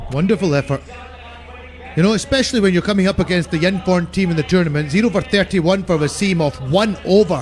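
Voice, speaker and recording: A man's high voice at a very fast pace, with ordinary pitch variation and very even loudness, over noticeable background noise. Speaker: cricket commentator. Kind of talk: live commentary. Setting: commentary box.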